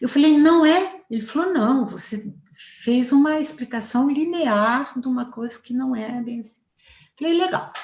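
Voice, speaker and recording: This woman speaks with lively intonation. She keeps a moderate pace. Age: 60s. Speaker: psychologist and family therapist. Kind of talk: interview. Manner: fluent, assured.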